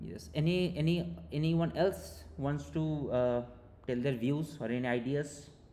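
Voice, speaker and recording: Audible room echo surrounds a man whose medium-pitched voice has a dark, mellow tone and very wide pitch swings. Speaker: teaching assistant. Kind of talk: online tutorial session. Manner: fast; hesitant, many fillers.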